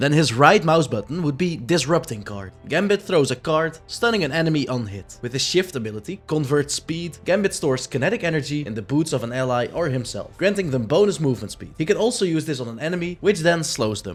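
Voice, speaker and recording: Music plays behind a man talking at a fairly quick pace. His fairly high voice makes very wide pitch swings. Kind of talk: casual gaming commentary.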